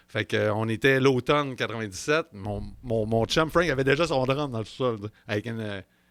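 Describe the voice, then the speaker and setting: The tone is animated, with ordinary pitch variation and a fairly quick pace. The recording is very clean and dry, with a silent background and no echo. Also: man. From Quebec, Bas-Saint-Laurent / Chaudière-Appalaches. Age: 30s. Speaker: jazz musician. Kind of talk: casual chat.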